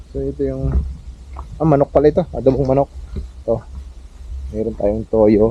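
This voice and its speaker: The speaker moves at a moderate pace with long, frequent pauses, big swings in loudness and very wide pitch swings. Noticeable background noise is present. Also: man. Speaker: farmer vlogger. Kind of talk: casual vlog narration. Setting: outdoors on a farm.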